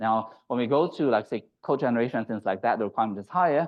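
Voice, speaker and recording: The man talks at a very fast pace with lively intonation. His pitch sits in the medium range. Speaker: AI startup founder and seminar speaker. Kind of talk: lecture. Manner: repetitive filler-heavy delivery.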